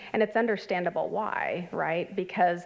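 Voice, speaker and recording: A woman with a fairly low pitch and vocal fry speaks at a moderate pace. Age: 50s. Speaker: clinical health psychologist presenting at a conference. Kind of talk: conference presentation. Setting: conference workshop with live audience. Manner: conversational with many fillers.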